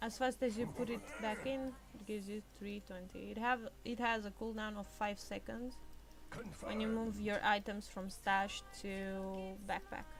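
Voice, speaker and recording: Over music in the background, a woman speaks at a fairly slow pace in a monotone, flat intonation. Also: medium pitch for a woman. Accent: non-native. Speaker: gamer. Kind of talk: gameplay tutorial commentary.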